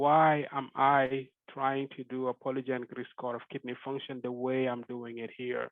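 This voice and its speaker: A man with a West African accent, medium pitch and a fairly quick pace. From Senegal. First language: Fulani. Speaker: genetic epidemiologist. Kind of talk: academic lecture. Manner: halting.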